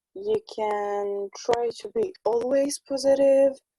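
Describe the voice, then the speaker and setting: A woman talks at a very slow pace with a non-native accent. Her intonation is fairly even and her tone is dark and mellow. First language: not English. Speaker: spiritual conversation partner. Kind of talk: casual chat. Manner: halting.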